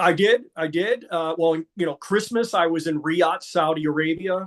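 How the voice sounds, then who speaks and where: This is an ordinary speaking voice from a man with a fairly high pitch. He speaks at a fairly slow pace with ordinary pitch variation. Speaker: ring announcer. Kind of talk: interview answer.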